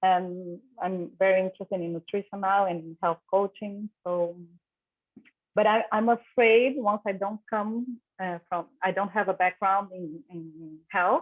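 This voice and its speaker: Here a woman talks with a Brazilian accent. Her intonation stays fairly even. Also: medium pitch for a woman, fairly slow pace. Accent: Brazilian Portuguese accent, self-described. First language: Portuguese. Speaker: prospective student. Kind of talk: casual introduction at an online info session. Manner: halting.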